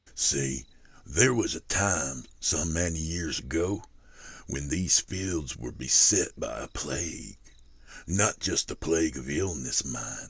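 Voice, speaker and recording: Putting on a character voice, a man talks at a very deep, low pitch and a fairly slow pace. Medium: read story.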